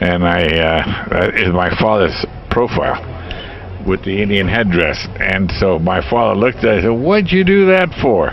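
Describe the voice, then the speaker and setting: Over noticeable background noise and audible room echo, a man speaks at a moderate pace and fairly low pitch, with very even loudness and ordinary pitch variation. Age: 70s. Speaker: vintage motorcycle owner, restorer. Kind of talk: casual interview answers.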